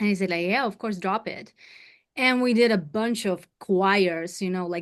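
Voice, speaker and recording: A woman speaks with a Ukrainian accent at a medium pitch. Her intonation is fairly even, and the background is quiet. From Ukraine, mountain region. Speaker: singer. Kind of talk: interview.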